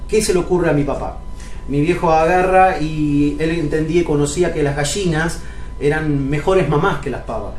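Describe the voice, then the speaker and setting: Audible room echo and noticeable background noise surround a man with a fairly high pitch. He talks at a moderate pace with fairly even intonation. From Argentina, Río Negro (Cipolletti). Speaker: pastor. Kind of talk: sermon.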